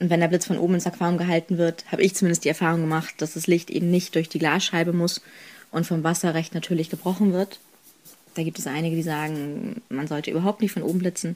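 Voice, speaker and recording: Very fast speech from a woman, fairly low in pitch and fairly even in intonation. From northern Germany, Kiel. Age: 20s. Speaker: photographer and student. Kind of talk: interview.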